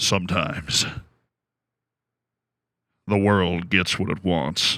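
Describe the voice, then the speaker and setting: In a put-on character voice, a man speaks very slowly at a very deep, low pitch on a very clean recording with a silent background. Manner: dramatic, grandiose.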